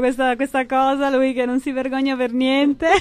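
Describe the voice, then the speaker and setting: At a moderate pace, a woman speaks in a high pitch, the sound dry with no echo. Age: 30s. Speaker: image consultant; interview guest. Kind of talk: radio interview. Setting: radio studio. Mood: warm, chatty. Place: studio. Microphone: studio mic.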